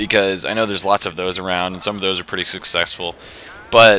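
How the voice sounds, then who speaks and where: Very deep, low male speech set against noticeable background noise. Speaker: gaming video creator. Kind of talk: casual vlog commentary. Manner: casual, rambling with fillers.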